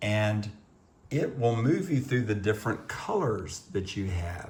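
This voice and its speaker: A man's somewhat breathy voice at a very slow pace, with audible room echo. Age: 60s. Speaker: guitar teacher doing a DIY video. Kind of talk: tutorial. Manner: halting.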